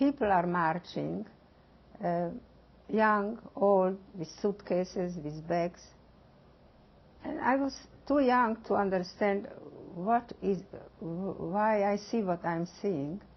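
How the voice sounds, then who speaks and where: There are long, frequent pauses as a woman speaks at a very slow pace. Her pitch sits in the medium range. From eastern Slovakia. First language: Hungarian. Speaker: Holocaust survivor. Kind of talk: testimony. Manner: halting.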